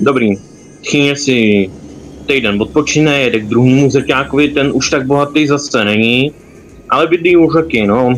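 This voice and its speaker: A man at medium pitch and moderate pace, with ordinary pitch variation and noticeable background noise. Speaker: gamer streaming with friends. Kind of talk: casual gaming chat.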